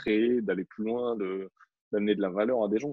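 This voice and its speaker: Here is a man with an ordinary speaking voice, a fairly low pitch and fairly even intonation. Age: 30s. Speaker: photographer and videographer. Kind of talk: casual interview.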